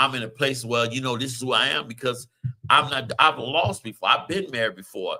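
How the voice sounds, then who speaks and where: A man with an American accent, a plain, everyday voice, medium pitch, ordinary pitch variation and a fairly quick pace. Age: 50s. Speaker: radio show host. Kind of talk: casual chat.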